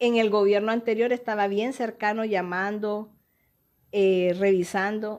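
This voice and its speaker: A woman speaks in an ordinary speaking voice at a fairly high pitch. Her pace is fairly slow, and the recording is very clean with a silent background. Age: 60s. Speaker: politician and doctor. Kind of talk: interview.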